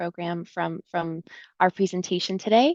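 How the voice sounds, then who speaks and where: A woman talks at a moderate pace with a medium pitch and fairly even intonation. The sound is dry and close, with no echo. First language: Russian. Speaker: grant consultant. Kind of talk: webinar presentation. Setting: video webinar. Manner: casual, many fillers.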